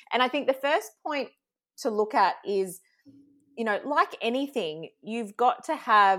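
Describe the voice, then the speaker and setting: Her intonation lively, a woman speaks with an Australian accent. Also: very clean recording, silent background. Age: 40s. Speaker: social media coach. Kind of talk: casual interview.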